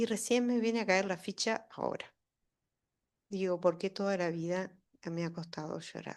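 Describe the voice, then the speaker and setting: Moderate pace broken by long, frequent pauses, with ordinary pitch variation against a quiet background. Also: woman, medium pitch for a woman. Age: 60s. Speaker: audience member, daughter of political prisoner. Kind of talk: public Q&A testimony. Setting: university lecture hall with audience.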